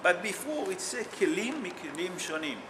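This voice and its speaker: A man speaks at a fairly slow pace with very wide pitch swings. There is noticeable background noise and audible room echo. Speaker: rabbi teaching a Torah class. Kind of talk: religious text class. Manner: loud.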